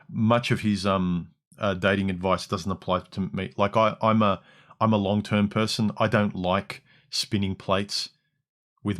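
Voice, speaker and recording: Heard in a very clean recording with a silent background, a man speaks at a moderate pace. His fairly low voice stays monotone and flat. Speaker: livestream host. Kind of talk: livestream commentary.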